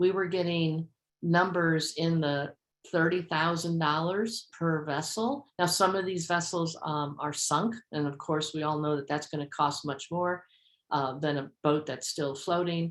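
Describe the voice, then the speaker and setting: An unremarkable speaking voice at a fairly slow pace, with ordinary pitch variation and a very clean recording over a silent background. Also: woman, fairly low pitch for a woman. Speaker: work group coordinator. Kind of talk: meeting presentation.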